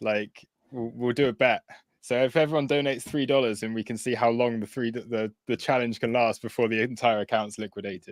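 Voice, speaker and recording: In a very clean recording with a silent background, a man with a British accent speaks at a moderate pace with fairly even intonation. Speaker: crypto trading streamer. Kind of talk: live trading stream chat. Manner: casual, hesitant with fillers.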